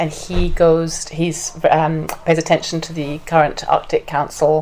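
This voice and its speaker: A woman with an English accent speaks at a fairly slow pace over noticeable background noise. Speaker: veterinarian and federal commissioner. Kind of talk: public lecture. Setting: community presentation with live audience. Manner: halting, many fillers.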